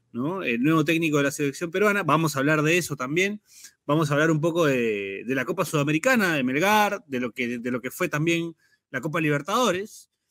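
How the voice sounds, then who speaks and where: In a very clean recording with a silent background, a man with a plain, everyday voice speaks fairly quickly, pitched fairly high, with lively intonation. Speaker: sports podcast host. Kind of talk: casual chat.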